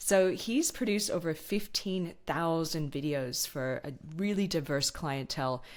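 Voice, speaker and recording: On a very clean recording with a silent background, a woman with an American accent speaks in an enthusiastic tone, her voice very deep and low, with ordinary pitch variation. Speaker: podcast host. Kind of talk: podcast interview.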